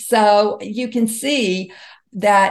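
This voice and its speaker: With an American accent, a woman uses a normal speaking voice at medium pitch and fairly even intonation. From US South, Mississippi. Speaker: author and health expert. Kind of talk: interview.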